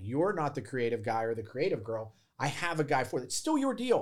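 Delivered at a fairly quick pace in an unremarkable speaking voice with an American accent, the speech comes through on a very clean recording with a silent background. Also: man. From Pittsburgh, Pennsylvania. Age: 40s. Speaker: real estate wholesaler. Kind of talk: podcast interview.

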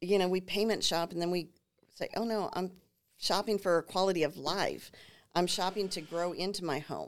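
At a moderate pace and medium pitch, a woman speaks in a normal speaking voice with fairly even intonation, in a very clean recording with a silent background. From Minnesota, New Ulm. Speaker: home builder sales representative. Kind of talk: casual interview chat.

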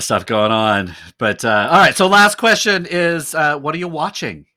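A man with an American accent speaks in a bright, sharp tone. He keeps a moderate pace with very wide pitch swings. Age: 50s. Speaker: podcast host and pastor. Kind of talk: casual interview chat.

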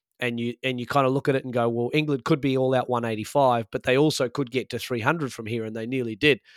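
At a medium pitch, a man talks at a very fast pace. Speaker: cricket podcast co-host. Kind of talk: casual chat.

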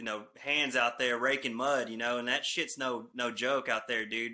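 This is a man talking. He has a Texan accent. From North Texas. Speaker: truck company owner's son and trucker. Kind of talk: casual chat. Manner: animated.

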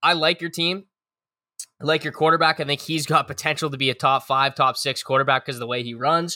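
A man speaks at a fairly quick pace with a fairly high pitch, a bright, sharp tone and fairly even intonation. The recording is very clean and dry, with a close sound, no echo and a silent background. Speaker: podcast co-host. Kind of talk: casual chat.

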